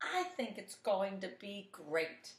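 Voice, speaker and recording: A woman puts on a character voice. Her pitch sits in the medium range. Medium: read story.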